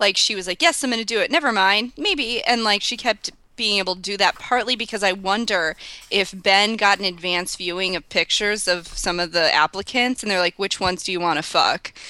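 A woman speaks at a medium pitch with ordinary pitch variation and a bright, sharp tone. Her pace is fairly quick. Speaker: librarian. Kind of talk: casual chat.

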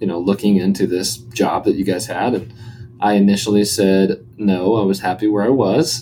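Music plays in the background as a man speaks in a fairly low voice. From Arkansas. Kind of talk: interview. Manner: hesitant, many fillers.

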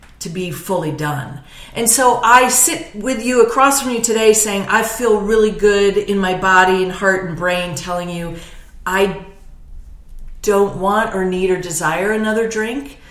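Noticeable background noise and audible room echo surround a woman speaking at a fairly slow pace. Her voice sits at a medium pitch with ordinary variation. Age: 50s. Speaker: comedian. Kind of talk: casual chat.

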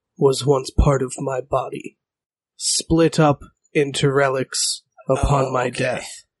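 A raspy, put-on character voice from a man, medium in pitch and very slow in pace. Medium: actual play. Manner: terse, solemn, cryptic.

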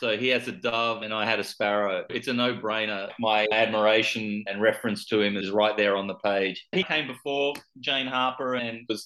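A man talks at a moderate pace and medium pitch, with hardly any pauses. His tone is bright and sharp, his intonation fairly even. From Australia. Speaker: author. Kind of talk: interview.

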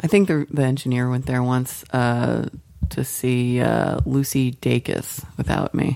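A woman with a very deep, low pitch speaks at a fairly slow pace, her loudness very even. Her pitch varies in an ordinary way, with noticeable background noise. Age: middle-aged. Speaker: podcast co-host. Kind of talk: casual chat.

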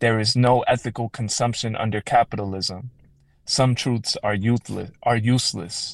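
A man's normal speaking voice at medium pitch, moderate pace, and fairly even intonation. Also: quiet background. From Chicago south suburbs, Illinois. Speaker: poet. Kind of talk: poetry reading; radio interview.

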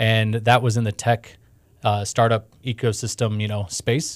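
This is an ordinary speaking voice with an American accent, moving at a fairly slow pace with fairly even intonation. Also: man, very clean recording, silent background. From Houston, Texas. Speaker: startup ecosystem director. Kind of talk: interview. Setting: studio.

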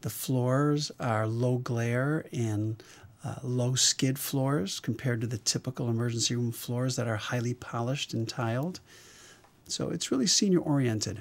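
Here a man has a plain, everyday voice at a medium pitch with ordinary pitch variation. He speaks at a moderate pace on a very clean recording with a silent background. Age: 60s. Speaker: emergency physician. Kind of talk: interview.

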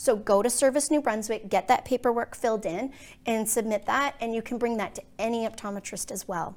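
An ordinary speaking voice at a fairly quick pace, with ordinary pitch variation, captured in a very clean recording against a silent background. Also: woman, fairly high pitch for a woman. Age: 40s. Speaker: optometrist. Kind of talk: casual chat.

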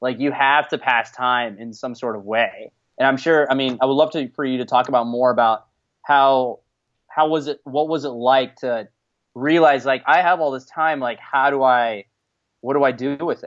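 A plain, everyday voice from a man with an American accent, medium pitch, moderate pace and fairly even intonation. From United States. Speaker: returned Peace Corps volunteer, guest interviewer. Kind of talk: casual interview chat. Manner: casual, filler-heavy.

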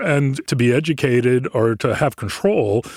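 In a dry, close recording with no echo, a man speaks at medium pitch with ordinary variation. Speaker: senior researcher. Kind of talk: casual interview. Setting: studio.

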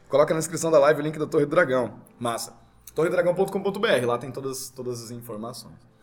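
Over music in the background, a man with a fairly high pitch speaks at a fairly quick pace, his intonation lively and his loudness swinging widely. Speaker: RPG game master. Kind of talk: casual chat. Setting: live recording at a game venue.

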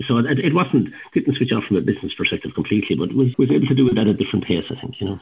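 A man speaks in an Irish Midlands accent. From Ireland, County Laois. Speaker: entrepreneur. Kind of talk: casual interview.

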